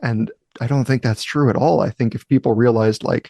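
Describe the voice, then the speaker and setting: The tone is dark and mellow, at a moderate pace. The sound is dry and close with no echo, over a quiet background. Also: man. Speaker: podcast host. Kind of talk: casual podcast conversation.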